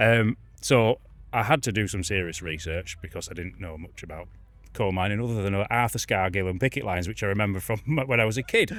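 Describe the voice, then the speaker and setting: Over music in the background, a man with a Yorkshire accent talks at a fairly quick pace, his loudness swinging widely. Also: fairly low pitch for a man, ordinary pitch variation. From northern England, Yorkshire Dales. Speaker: garden designer. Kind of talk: casual interview.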